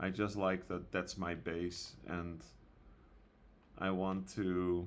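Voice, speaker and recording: A man with a very deep, low voice speaks at a very slow pace, with audible echo in the room. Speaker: gaming youtuber and server owner. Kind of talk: casual gameplay commentary. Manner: soft-spoken; hesitant, many fillers.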